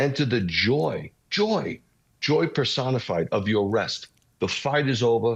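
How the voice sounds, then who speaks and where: In a New York accent, the speaker talks at a fairly slow pace with lively intonation. Loudness is very even, over a quiet background. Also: man. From New York City (Bronx). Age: 60s. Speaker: messianic rabbi. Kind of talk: interview testimony. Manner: animated.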